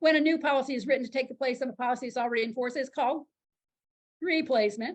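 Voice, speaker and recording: At a very fast pace, a woman speaks in a high pitch with fairly even intonation. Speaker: insurance licensing instructor. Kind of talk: lecture.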